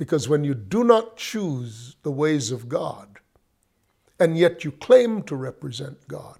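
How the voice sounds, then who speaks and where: A man with a dark, mellow tone and a somewhat breathy voice talks at a very slow pace using lively intonation. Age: 70s. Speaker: Bible teacher. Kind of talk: sermon-style Bible teaching monologue. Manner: halting, with frequent restarts.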